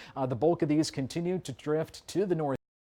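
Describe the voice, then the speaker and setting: An unremarkable speaking voice from a man, fairly high in pitch, with fairly even intonation at a fairly quick pace. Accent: American. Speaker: television meteorologist / weather anchor. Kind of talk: TV weather forecast and live report. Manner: clear, professional, conversational.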